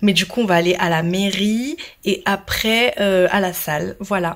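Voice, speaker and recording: Her tone is animated and her pitch medium. This woman uses ordinary pitch variation. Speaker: vlogger and bride. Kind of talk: casual vlog.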